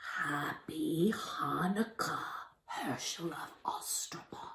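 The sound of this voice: This put-on character voice is creaky and moves at a very slow pace.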